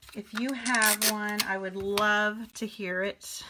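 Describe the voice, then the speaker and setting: A woman speaks very slowly with a fairly high pitch. Her intonation is monotone and flat. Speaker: paper craft teacher. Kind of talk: live stream tutorial. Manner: casual, chatty.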